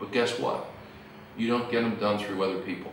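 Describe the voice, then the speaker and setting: Against noticeable background noise and audible room echo, a man talks with fairly even intonation. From US Northeast. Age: 60s. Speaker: corporate executive. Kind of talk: lecture.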